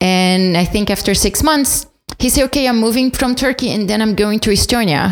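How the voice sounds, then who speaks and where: The speaker has a Portuguese accent and talks at a moderate pace. Loudness stays very even, and the pitch varies an ordinary amount. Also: woman, fairly high pitch for a woman. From Brazil, São Paulo. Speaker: podcast guest, immigrant. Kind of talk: casual chat.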